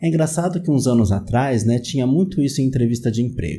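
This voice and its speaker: A dark, mellow, somewhat breathy tone in a São Paulo accent, with lively intonation at a fairly quick pace. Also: man. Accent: São Paulo Brazilian Portuguese. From Greater São Paulo, Brazil. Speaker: psychologist, YouTube host. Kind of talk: casual educational talk to camera. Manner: conversational, many fillers (né).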